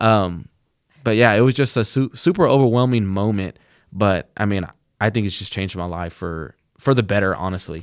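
A plain, everyday voice speaks with an American accent. The pace is moderate, and pitch variation is ordinary. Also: man, fairly low pitch for a man. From Texas (Plainview). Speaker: college student, scholarship recipient. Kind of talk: casual chat. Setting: studio.

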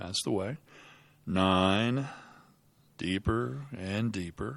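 A man at a very slow pace, soothing and gentle in tone, with lively intonation. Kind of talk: hypnosis induction. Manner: slow, soothing, hushed and hypnotic, with repeated phrases like 'deeper and deeper'; gentle, unhurried and rhythmic, counting down with long pauses.

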